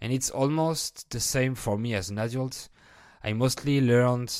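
A man speaks at a fairly slow pace with a slight French accent and ordinary pitch variation. The recording is very clean, with a silent background. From France. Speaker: French teacher and podcaster. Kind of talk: casual interview.

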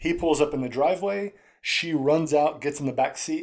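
The man's pitch is fairly high, with ordinary variation, and he moves at a fairly quick pace. The recording is very clean, with a silent background. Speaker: podcast co-host. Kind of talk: casual chat. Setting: home recording with echo. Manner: casual, laughing.

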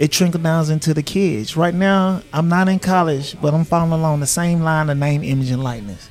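Music plays in the background as someone speaks with a Southern US accent. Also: man. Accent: Southern US (Georgia). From Griffin, Georgia (US South). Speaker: former NFL player and barber. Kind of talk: interview conversation. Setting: barbershop.

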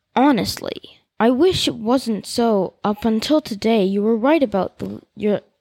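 A quiet background sits behind an unforced reading voice.

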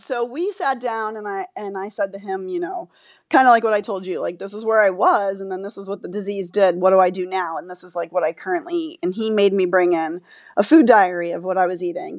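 In an American accent, a plain, everyday voice moves at a fairly quick pace with ordinary pitch variation and big swings in loudness. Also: woman. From Florida. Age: 40s. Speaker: patient sharing illness story. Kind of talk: interview.

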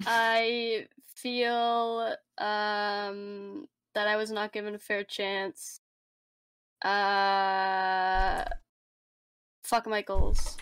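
A woman with a Canadian accent, fairly high in pitch, very slow with long, frequent pauses and fairly even intonation, in a dry, close sound with no echo. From Canada. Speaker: podcast co-host. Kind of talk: casual chat.

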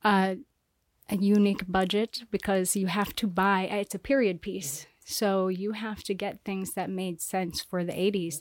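Recorded very cleanly against a silent background, a woman with an American accent speaks in an unremarkable speaking voice at a medium pitch, fairly slowly and with fairly even intonation. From Iowa, US Midwest. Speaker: cinematographer and filmmaker. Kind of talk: interview.

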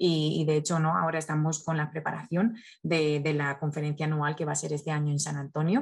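Over a quiet background, a woman with a very deep, low pitch talks at a fairly quick pace with fairly even intonation. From Spain. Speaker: nonprofit communications specialist. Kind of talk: interview. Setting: video call. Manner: halting, frequent repetitions.

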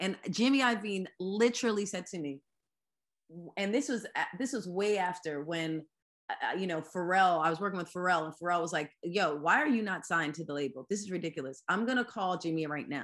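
A woman with an unremarkable speaking voice and an American accent, medium in pitch, with lively intonation at a fairly quick pace. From US Northeast, Philadelphia suburbs (Lower Merion). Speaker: singer-songwriter. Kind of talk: casual interview. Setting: video call.

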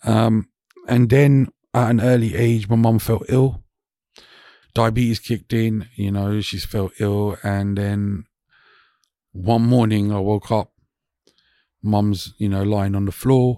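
Captured in a very clean recording with a silent background and a dry, close sound with no echo, a man with a London accent speaks very slowly in a dark, mellow tone at a fairly low pitch, with fairly even intonation and long, frequent pauses. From West London, England. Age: 40s. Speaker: DJ and employment specialist. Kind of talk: casual chat. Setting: studio.

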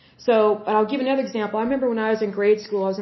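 A woman with an American accent, fairly high in pitch and fairly even in intonation, over noticeable background noise. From Oklahoma. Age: 30s. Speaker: podcast host. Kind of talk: solo commentary reading from sources.

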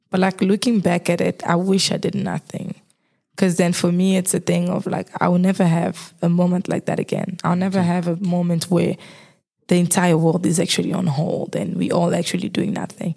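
A woman with a fairly low pitch speaks in a monotone, flat intonation, her dark, mellow tone marked by vocal fry. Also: fairly quick pace. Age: 20s. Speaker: marketing graduate. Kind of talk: casual chat. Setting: studio.

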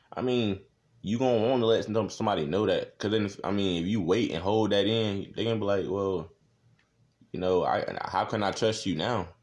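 Against a quiet background, a man with a fairly low pitch talks at a fairly quick pace in an ordinary speaking voice with fairly even intonation. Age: young. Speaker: young man in a relationship discussing dating. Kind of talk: casual chat.

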